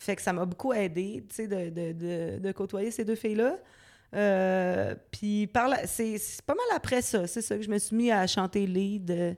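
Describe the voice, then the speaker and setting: A woman speaks very slowly in a medium-pitched voice. Her pitch varies in an ordinary way. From Quebec City suburbs (Loretteville). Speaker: singer-songwriter. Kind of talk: interview. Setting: dance studio.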